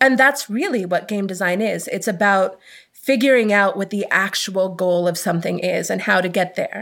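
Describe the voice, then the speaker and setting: A woman speaks at a moderate pace in a medium-pitched, unremarkable speaking voice with ordinary pitch variation. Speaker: game designer and author. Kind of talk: interview explanation.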